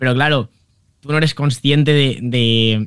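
This is a man speaking at a medium pitch. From Valencia, Spain. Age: 20s. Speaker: humor content creator. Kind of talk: interview.

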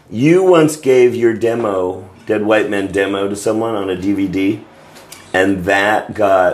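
Noticeable background noise sits behind a man speaking at a fairly slow pace. His fairly low voice has ordinary pitch variation. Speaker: podcast host. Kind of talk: casual chat. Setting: apartment.

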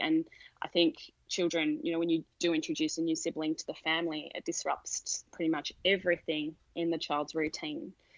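Speaking in an Australian accent, a woman uses a fairly low pitch, fairly even intonation, and a moderate pace. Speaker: sleep consultant and parent coach. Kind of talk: podcast interview.

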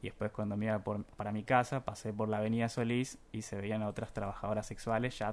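A man speaks at a fairly quick pace in a fairly low pitch with monotone, flat intonation, on a very clean recording with a silent background. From Buenos Aires, Argentina. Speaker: journalism student, contest winner. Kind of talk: radio interview. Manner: halting, many fillers.

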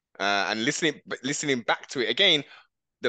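A man with a British accent, medium-pitched with a bright, sharp tone, at a fairly quick pace, in a dry, close sound with no echo against a quiet background. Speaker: podcast host. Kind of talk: casual chat. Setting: video call. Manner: halting.

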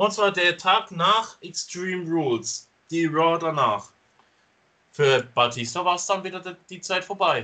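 Speaking at a fairly slow pace, a man with a high pitch and a bright, sharp tone uses lively intonation. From Stuttgart, Germany. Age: 20s. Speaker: wrestling podcast host. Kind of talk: casual chat. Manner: loud at times.

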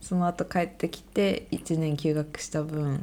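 On a very clean recording with a silent background, a woman speaks very slowly with a very deep, low pitch and a dark, mellow tone. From Sendai, Japan. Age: 20s. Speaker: medical student, podcast co-host. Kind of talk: casual chat.

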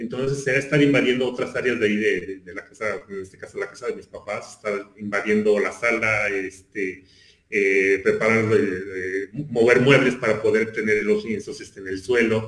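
In a normal speaking voice of medium pitch, a man talks at a moderate pace with hardly any pauses, fairly even intonation, and big swings in loudness. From Mexico City. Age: 40s. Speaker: visual artist. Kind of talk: casual chat.

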